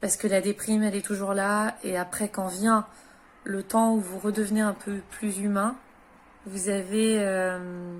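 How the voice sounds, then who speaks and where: A woman talks at medium pitch in a flat, monotone way. The recording is very clean, with a silent background. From France. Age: 30s. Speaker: widow and former caregiver. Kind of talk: personal advice talk to camera. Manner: hesitant, many filler sounds.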